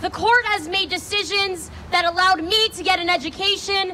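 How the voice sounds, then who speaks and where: A woman speaks in a raised, projected voice at a moderate pace. Light background noise can be heard. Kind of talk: prepared speech. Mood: earnest, persuasive. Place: street. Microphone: handheld.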